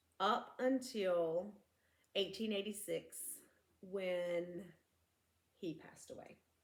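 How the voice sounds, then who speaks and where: A woman talks at a very slow pace with long, frequent pauses. Her pitch is medium, with ordinary variation. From US South. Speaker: true crime podcast co-host. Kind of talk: casual storytelling chat. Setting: home living room, filmed. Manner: animated.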